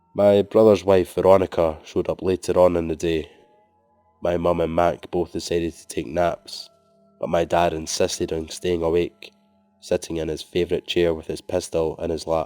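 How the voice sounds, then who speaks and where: Over music in the background, a man with a very deep, low voice speaks at a moderate pace in a flat monotone, his loudness swinging widely, the sound dry and close with no echo. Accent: Scottish. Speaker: horror story narrator. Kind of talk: scary story reading.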